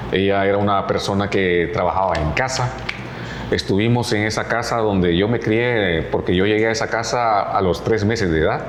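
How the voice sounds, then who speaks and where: Amid noticeable background noise and audible room echo, a man with a fairly low pitch speaks at a moderate pace with fairly even intonation. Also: very even loudness. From Honduras, Choluteca (south). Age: 60s. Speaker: radio announcer. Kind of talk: interview.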